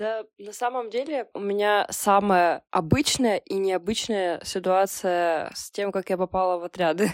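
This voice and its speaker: Woman with a plain, everyday voice at a medium pitch, ordinary pitch variation, big swings in loudness, a fairly slow pace and hardly any pauses, in a dry, close sound with no echo on a very clean recording with a silent background. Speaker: journalist and SMM specialist. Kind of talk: casual chat.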